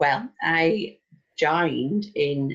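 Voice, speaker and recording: Her voice is very deep and low for a woman, somewhat breathy, with ordinary pitch variation. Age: 60s. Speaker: network marketer. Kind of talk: interview. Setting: phone call.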